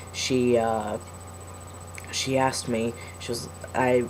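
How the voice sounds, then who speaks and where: A man with a medium-pitched voice keeps his intonation fairly even as noticeable background noise carries on behind him. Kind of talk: personal video diary. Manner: hesitant, many fillers.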